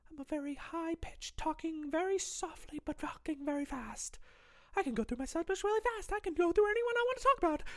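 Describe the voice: This put-on character voice sits at an extremely high pitch. The pace is very fast.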